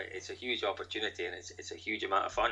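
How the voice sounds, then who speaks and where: The speaker is a man with a Scottish accent. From Scotland. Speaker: rally commentator. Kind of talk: podcast interview answer.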